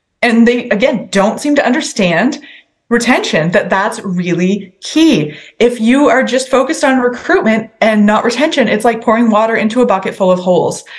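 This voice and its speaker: Her Maritime Canadian accent carrying lively intonation, a woman with a fairly high pitch talks at a moderate pace and very even loudness. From New Brunswick, Canada (Sackville). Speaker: provincial politician. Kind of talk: interview.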